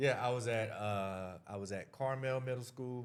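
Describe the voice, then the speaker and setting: With audible room echo, a man with an American accent speaks at a fairly slow pace. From US South, North Carolina (Durham). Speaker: real estate agent. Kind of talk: interview.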